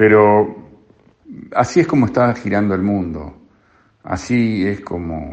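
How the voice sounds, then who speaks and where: His pitch is fairly low for a man. The intonation is lively. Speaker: radio columnist. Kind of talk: radio commentary. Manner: halting, repeats words.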